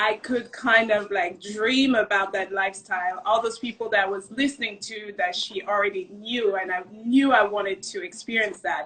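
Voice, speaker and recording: With a non-native accent, a woman speaks at a medium pitch and a moderate pace with hardly any pauses. Her intonation is fairly even, and there is noticeable background noise. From Cameroon. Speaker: restaurant maître d'. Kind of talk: casual interview chat.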